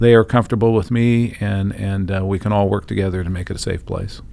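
Fairly even intonation and a fairly quick pace come through over noticeable background noise. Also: man. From Central California. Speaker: sheriff-elect. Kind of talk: interview. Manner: halting, many fillers.

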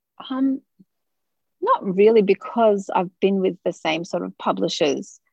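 A woman speaks at a fairly slow pace with an Australian accent, the sound dry and close with no echo. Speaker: author and sociology researcher. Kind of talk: interview. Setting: studio.

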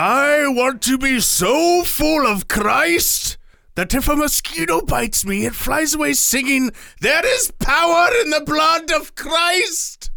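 At a fairly slow pace, a man adopts a put-on character voice pitched extremely high. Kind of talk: sermon. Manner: overzealous, over-the-top.

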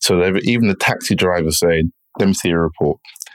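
Speaking at a moderate speed, this man has a very deep, low pitch. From England, partly schooled in Jamaica. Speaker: entrepreneur and property investor. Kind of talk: interview.

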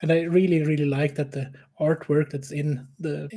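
A man's fairly high, somewhat breathy voice with a dark, mellow tone, monotone, flat intonation and a moderate pace. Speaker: podcast host. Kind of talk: casual hobby podcast chat.

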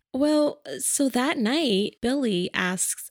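A woman's animated voice, dry and close with no echo, on a very clean recording with a silent background. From New York. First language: a language other than English. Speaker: podcast co-host. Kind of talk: casual chat.

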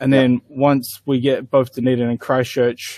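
A man with a New Zealand accent, medium in pitch, in a dry, close sound with no echo. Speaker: tabletop wargaming player. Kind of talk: casual chat. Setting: video call.

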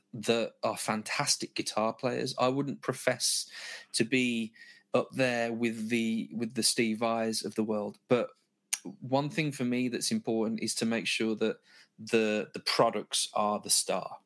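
A man's medium-pitched voice with a Birmingham accent, a fairly slow pace and fairly even intonation, in a very clean recording with a silent background. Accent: Birmingham (Brummie) English. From Birmingham, England. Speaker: guitar gear product specialist. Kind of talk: gear demonstration.

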